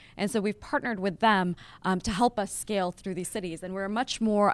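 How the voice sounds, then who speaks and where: A woman with an American accent talks at a fairly quick pace and medium pitch in a very clean recording with a silent background. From Las Vegas, US. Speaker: tech startup founder and CEO. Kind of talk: interview in front of a live audience. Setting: office with live audience. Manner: animated.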